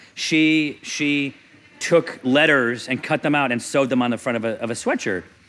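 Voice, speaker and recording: A man at a fairly high pitch and moderate pace, with ordinary pitch variation and noticeable background noise. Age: 40s. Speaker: comedian. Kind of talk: casual chat.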